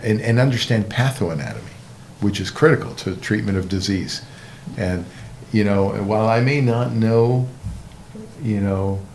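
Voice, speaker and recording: A man's moderately paced speech, with ordinary pitch variation, comes through audible room echo and noticeable background noise. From Canada (Montreal). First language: Hebrew. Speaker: orthopedic surgeon. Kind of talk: interview. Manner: halting.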